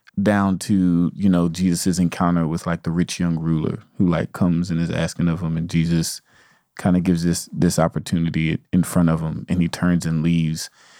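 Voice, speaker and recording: A man's very deep, low voice with an American accent, dark and mellow in tone, monotone and flat, at a moderate pace over a silent background in a very clean recording. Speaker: podcast co-host. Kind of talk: casual chat.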